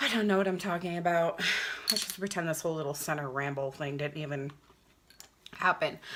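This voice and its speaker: A woman with a very deep, low pitch and ordinary pitch variation, at a fairly quick pace with long, frequent pauses, over noticeable background noise. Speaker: beauty vlogger. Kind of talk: makeup tutorial. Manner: casual, chatty.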